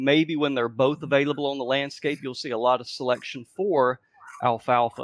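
A man is speaking against a quiet background. The sound is dry with no echo. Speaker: panelist. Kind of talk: casual panel discussion. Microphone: video call.

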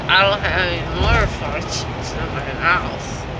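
A woman speaking very slowly over loud background noise. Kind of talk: casual vlog chat. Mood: giddy, joking. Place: car. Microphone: phone near.

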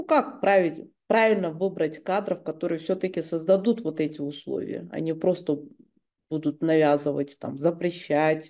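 A woman talks in a fairly low, dark, mellow voice with ordinary pitch variation. The background is quiet. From Kyrgyzstan. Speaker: journalist interviewer. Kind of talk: interview. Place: home room. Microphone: webcam.

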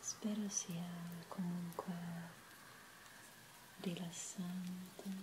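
A soft-spoken woman talks at a very slow pace in a gentle tone. Her intonation stays monotone and flat over noticeable background noise. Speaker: ASMR creator. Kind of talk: soft-spoken ASMR talk. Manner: soft-spoken, gentle ASMR murmur. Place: home room.

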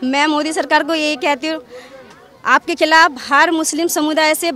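Crowd noise sits in the background as a woman speaks in a raised, projected voice at an extremely high pitch. The sound itself is dry with no echo. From Delhi, Jahangirpuri; Delhi. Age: 30s. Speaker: local resident; interviewee. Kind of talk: street interview. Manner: animated. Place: street. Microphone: handheld.

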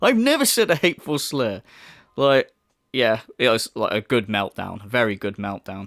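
In a very clean recording with a silent background and a dry, close sound with no echo, a man with a plain, everyday voice talks at a moderate pace with ordinary pitch variation. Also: medium pitch for a man. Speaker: video commentator. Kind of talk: casual commentary. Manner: casual, sarcastic, sweary.

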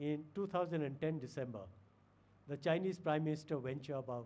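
A man speaks at a moderate pace with a dark, mellow tone and a fairly high pitch. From India. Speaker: retired diplomat. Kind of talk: lecture. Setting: lecture hall with audience. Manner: formal. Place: hall. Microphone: podium.

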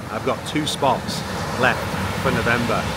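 At a moderate pace, a man talks in a dry sound with no echo over noticeable background noise. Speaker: fitness coach vlogger. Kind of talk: casual vlog chat. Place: beach. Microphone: phone near.

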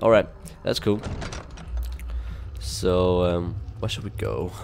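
A man talks at a fairly slow pace while noticeable background noise runs behind him. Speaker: gamer. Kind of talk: gameplay commentary. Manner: casual.

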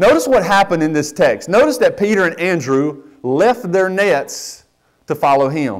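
Speaking in a North Carolina accent, a man keeps a moderate pace. His pitch is high, and the background is quiet. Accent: Southern US (North Carolina). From US South, western North Carolina. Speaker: pastor. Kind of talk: sermon. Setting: church. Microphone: lapel.

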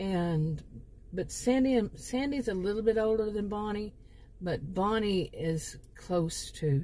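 A woman speaks at a medium pitch with lively intonation. Her tone is dark and mellow, and somewhat breathy. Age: 50s. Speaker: YouTuber telling fictional stories. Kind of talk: casual monologue to camera. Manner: halting with many fillers.

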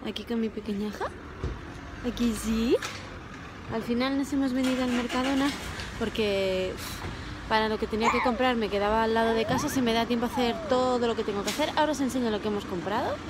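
Over noticeable background noise and audible room echo, a woman with a fairly high voice talks at a fairly quick pace with fairly even intonation. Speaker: vlogger, mother. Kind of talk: casual vlog narration. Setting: in a car.

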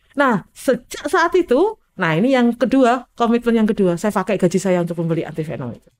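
Her fairly high voice swings very widely in pitch as the woman talks at a fairly quick pace with hardly any pauses. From Indonesia. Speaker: physician specializing in snakebite treatment; guest. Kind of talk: interview storytelling. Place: studio. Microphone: studio mic.

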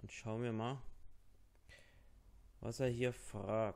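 At a very slow pace, a man with a medium pitch and slightly mellow tone speaks in fairly even intonation with vocal fry.

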